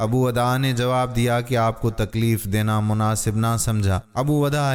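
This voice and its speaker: A plain, everyday voice with fairly even intonation. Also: man. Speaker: voice-over artist. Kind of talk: Islamic moral story narration.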